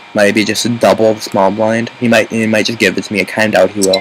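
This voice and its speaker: A man speaks at a fairly low pitch against noticeable background noise. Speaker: online poker player commentating his own play. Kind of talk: live gameplay commentary. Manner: fast.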